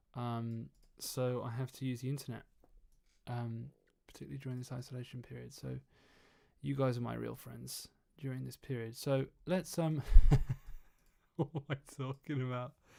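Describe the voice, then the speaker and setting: With an English accent, a man at a medium pitch speaks at a moderate pace with fairly even intonation and long, frequent pauses. His tone is dark and mellow. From England. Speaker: trumpeter and mixing engineer streaming. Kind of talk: casual livestream chat. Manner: hesitant, many fillers.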